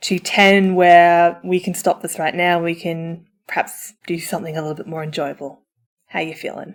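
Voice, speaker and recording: A woman talks at a moderate pace. Her pitch sits fairly low. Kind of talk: audio roleplay, comfort for listener. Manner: upbeat, emphatic.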